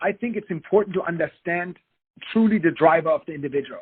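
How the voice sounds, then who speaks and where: A man's high-pitched voice, fairly quick in pace, with ordinary pitch variation. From Germany. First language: German. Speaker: business executive and consultant. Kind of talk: podcast interview.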